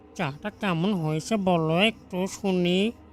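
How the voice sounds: A cartoonish character voice, female-sounding and middle-pitched, over clear background noise.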